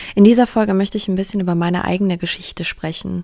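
A woman speaks with monotone, flat intonation. Her tone is dark and mellow. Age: 30s. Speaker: podcast host, bereaved daughter. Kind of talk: personal monologue, testimony.

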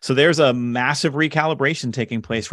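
The background is quiet as a man talks at a medium pitch with lively intonation. He has a plain, everyday voice. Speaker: author and leadership speaker. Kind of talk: casual interview chat.

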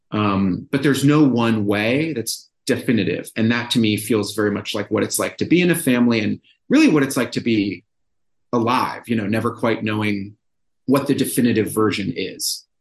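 With an American accent, a man talks in a normal speaking voice at medium pitch with ordinary variation. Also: moderate pace. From Brookline, Massachusetts, US. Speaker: novelist. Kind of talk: interview about his book.

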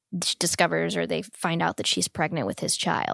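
A woman speaks with vocal fry and ordinary pitch variation, in a dry, close sound with no echo. The recording is very clean, and the background is silent. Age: 30s. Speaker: actor and producer. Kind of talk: casual conversation.

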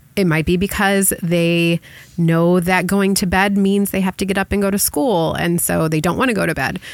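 Here a woman uses a plain, everyday voice at medium pitch and moderate pace, with very even loudness, fairly even intonation, and a very clean recording over a silent background. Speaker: podcast host. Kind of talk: casual chat.

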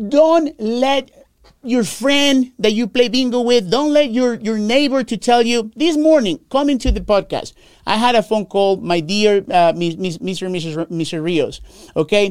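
An animated tone comes through at a moderate pace. The speech carries a Spanish accent. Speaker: Medicare insurance agent podcast host. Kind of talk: informational podcast monologue. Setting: live recording, on camera.

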